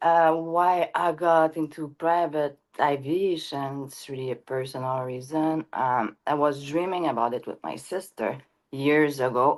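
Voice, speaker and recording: With a strong French Canadian accent, a woman speaks at a very deep, low pitch with ordinary pitch variation, on a very clean recording with a silent background. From Quebec. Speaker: private jet broker. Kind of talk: interview.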